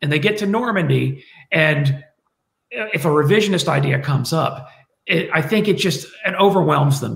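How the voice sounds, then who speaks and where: Amid audible room echo, a man talks at a moderate pace with a fairly high pitch and lively intonation. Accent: American. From United States. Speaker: military historian; guest. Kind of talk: panel discussion. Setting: video call. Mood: reflective, slightly wry. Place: home room. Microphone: webcam.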